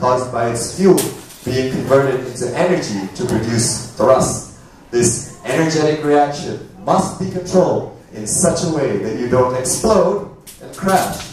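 The pace is fairly slow. Noticeable background noise and strong room echo fill the recording. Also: man. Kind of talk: performed science talk. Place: stage.

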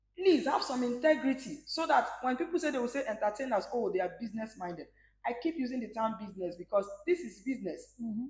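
Amid light background noise and audible room echo, the voice races at a very fast pace with very wide pitch swings. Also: woman, high pitch for a woman. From Nigeria, Rivers State (Port Harcourt); Rivers State, Nigeria. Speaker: singer; interview guest. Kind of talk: interview. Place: bar. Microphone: lapel.

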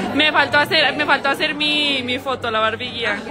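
Over music in the background, a woman speaks in a raised, projected voice at a high pitch with ordinary pitch variation. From Mexico, Jalisco (El Salto). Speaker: pageant livestream host, former beauty queen. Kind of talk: casual live-stream chat. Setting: live stream at pageant venue. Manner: animated. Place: cafe. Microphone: phone near.

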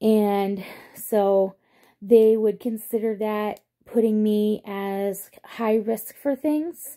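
A woman's fairly high voice with a dark, mellow tone, fairly even intonation and a very slow pace, over a quiet background. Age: 30s. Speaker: vlogger; pregnant mother vlogger. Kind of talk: casual vlog monologue. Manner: hesitant, many fillers. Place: home room. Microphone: phone near.

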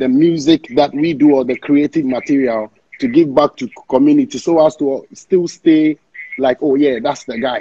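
Ordinary pitch variation at a moderate pace, against a quiet background. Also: man. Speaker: guest. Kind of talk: interview answer. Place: home room.

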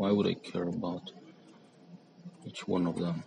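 A man with a strong non-native accent mumbles at a moderate pace in a very deep, low, monotone voice, with noticeable background noise. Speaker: 3D artist. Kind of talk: software tutorial narration. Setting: mobile phone recording. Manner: mumbling. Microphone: phone near.

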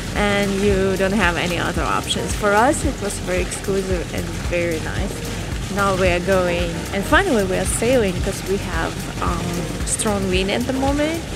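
Music plays in the background while the speech keeps a moderate pace. The sound is dry with no echo. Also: woman. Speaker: travel vlogger. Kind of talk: casual vlog chat. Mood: cheerful, relaxed. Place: boat. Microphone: phone near.

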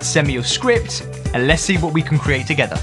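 Clear music plays in the background as a man speaks with a British accent. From United Kingdom. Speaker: spokesperson, voice actor. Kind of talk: promotional talk to camera. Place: studio.

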